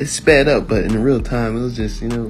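Over music in the background, a man speaks in a playful tone. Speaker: amateur comedic voiceover narrator. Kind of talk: comedic voiceover of a beauty tutorial. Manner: casual, playful.

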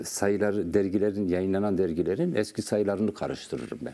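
This man's voice sits fairly low in pitch, with a dark, mellow tone. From Turkey. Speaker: poet and writer; guest. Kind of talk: interview. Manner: halting. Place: studio. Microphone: lapel.

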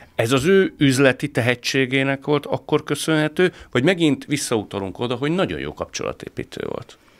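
Against a quiet background, a man speaks with vocal fry at a moderate pace, hardly pausing and varying his pitch in an ordinary way. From Hungary. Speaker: podcast host. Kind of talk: interview discussion. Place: studio. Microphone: studio mic.

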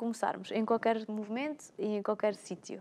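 A woman's normal speaking voice, fairly high in pitch, with fairly even intonation at a moderate pace. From Alentejo, Portugal. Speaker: personal trainer. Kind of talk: casual talk show chat. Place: studio. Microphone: lapel.

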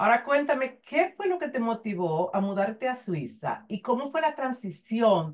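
With very wide pitch swings, a woman speaks at a fairly slow pace. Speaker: interview show host. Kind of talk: interview. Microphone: earbuds.

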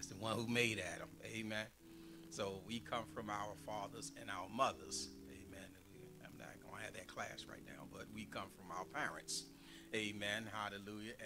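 Loudness swings widely at a moderate pace. Music plays clearly in the background. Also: man, fairly low pitch for a man. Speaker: pastor. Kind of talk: sermon. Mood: warm, jovial. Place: church. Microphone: podium.

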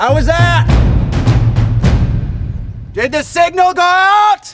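A man puts on a character voice, extremely high-pitched with a fairly bright tone and lively intonation. He goes at a slow pace while faint music plays in the background.

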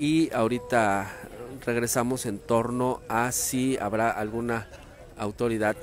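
A man speaks over light background noise. The sound is dry, with no echo. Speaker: local news reporter. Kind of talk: live news report. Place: street. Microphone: phone near.

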